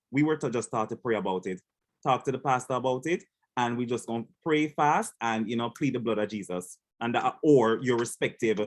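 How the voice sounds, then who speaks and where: A man speaks at a medium pitch with a Jamaican accent. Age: young. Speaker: panel moderator. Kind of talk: moderated panel discussion. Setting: video call.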